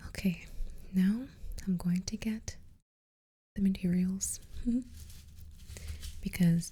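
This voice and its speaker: Soft-spoken and somewhat breathy, a woman talks at a fairly slow pace in a relaxed, dark, mellow tone. Her intonation stays monotone and flat. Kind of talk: ASMR gardening session, talking to the viewer. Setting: close-mic studio ASMR recording. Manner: soft-spoken, slow, relaxed.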